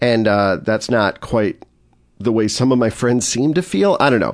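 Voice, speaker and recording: This man has a normal speaking voice, talking at a moderate pace and a medium pitch. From Chicago area, US Midwest. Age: 40s. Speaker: addiction counselor and former improviser. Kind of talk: casual interview chat.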